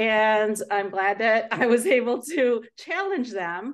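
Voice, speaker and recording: A woman with a normal speaking voice talks in a fairly high pitch with ordinary pitch variation over a quiet background. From US Midwest, Chicago area. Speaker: project manager and motivational speaker. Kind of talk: interview.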